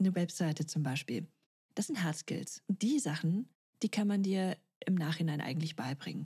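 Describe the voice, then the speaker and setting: A woman with a fairly low pitch and a dark, mellow tone sounds somewhat breathy, her intonation lively, in a dry, close recording with no echo. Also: moderate pace. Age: 30s. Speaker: podcast host and career coach. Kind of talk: solo podcast monologue.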